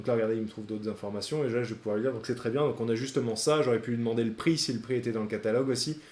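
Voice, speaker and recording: A man talks with fairly even intonation. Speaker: AI sales trainer / YouTuber. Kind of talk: tutorial. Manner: fast.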